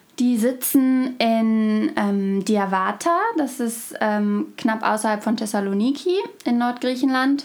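Over noticeable background noise, a woman talks very slowly in a fairly high pitch with ordinary pitch variation. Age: 20s. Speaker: student and refugee aid volunteer. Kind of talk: interview. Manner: hesitant with fillers.

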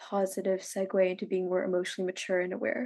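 A woman with an American accent talks at a fairly quick pace and medium pitch. Her tone is dark and mellow. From Los Angeles. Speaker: podcast co-host. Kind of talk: casual chat.

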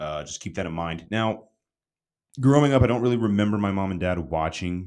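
This man speaks with ordinary pitch variation. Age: 20s. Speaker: podcast host. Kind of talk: solo opinion monologue. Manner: casual, hesitant with fillers.

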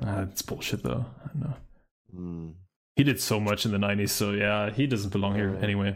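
A man with a fairly low pitch, a moderate pace, ordinary pitch variation and long, frequent pauses. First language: not English. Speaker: movie podcast co-host. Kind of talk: casual chat.

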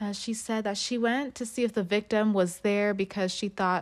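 On a very clean recording with a silent background, a woman with an ordinary speaking voice talks at a moderate pace and medium pitch with ordinary pitch variation. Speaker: true crime podcast host. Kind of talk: true-crime narration, reading court documents aloud.

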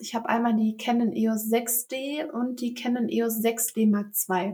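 Using a plain, everyday voice, a woman speaks at a fairly slow pace and a fairly high pitch, with fairly even intonation. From Germany, Velbert (Kreis Mettmann, near Ruhr area). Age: 20s. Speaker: photographer. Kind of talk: casual interview. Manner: frequent fillers (ähm, äh).

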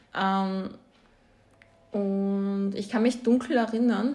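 A woman speaks with a fairly high, somewhat breathy voice in a dark, mellow tone. Her intonation is monotone and flat, and audible room echo is present. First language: Croatian or Slovenian (speaking German). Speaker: podcast co-host. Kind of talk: casual chat.

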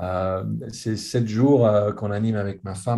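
A man's fairly low, somewhat breathy voice with a dark, mellow tone, fairly even intonation and a fairly slow pace. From Geneva, Switzerland. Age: 60s. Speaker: author. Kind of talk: conversational interview. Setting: video call. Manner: repetitive stammering.

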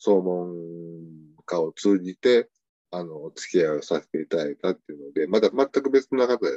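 A man with an Osaka accent, very deep and low in pitch, with lively intonation at a moderate pace, long, frequent pauses and a dry, close sound with no echo. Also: big swings in loudness. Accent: Osaka Kansai dialect. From Osaka, Japan. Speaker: tanka poet, contest judge. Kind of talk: casual interview chat.

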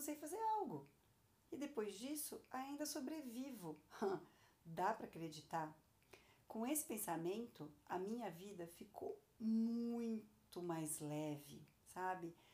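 A woman speaks at a very slow pace with a fairly high pitch and very wide pitch swings. Her tone is dark and mellow, and somewhat breathy. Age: 40s. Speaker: podcast host, entrepreneur. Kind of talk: personal monologue, podcast.

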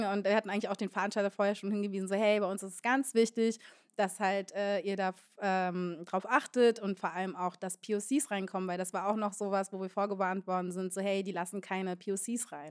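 A woman with a plain, everyday voice speaks at a fairly quick pace and medium pitch. Her intonation is fairly even, and the background is quiet. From Berlin (Moabit). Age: 20s. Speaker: DJ. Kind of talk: live panel discussion. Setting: stage with audience.

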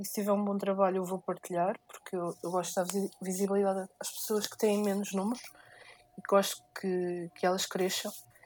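A woman of medium pitch speaks at a moderate pace with monotone, flat intonation. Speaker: podcast co-host, photographer. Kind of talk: casual chat.

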